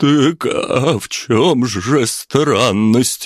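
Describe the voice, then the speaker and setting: A shaky man's voice comes through dry and close, with no echo. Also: medium pitch for a man. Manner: trembling, frightened.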